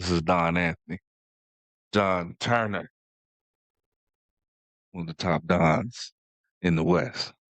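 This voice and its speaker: In a put-on character voice, a man speaks raspy and very deep, at a fairly slow pace with long, frequent pauses. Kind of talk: mafia-style talk. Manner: tough, swaggering.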